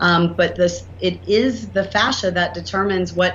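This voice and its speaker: Over noticeable background noise and audible room echo, a woman speaks with a Southern US accent. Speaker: inventor and entrepreneur. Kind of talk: interview. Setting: podcast. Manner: animated.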